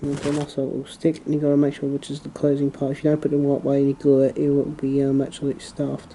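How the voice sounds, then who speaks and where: A soft-spoken man with a fairly high pitch and a dark, mellow tone talks at a very fast pace with hardly any pauses and monotone, flat intonation. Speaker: hobbyist model railway maker. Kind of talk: tutorial. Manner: halting.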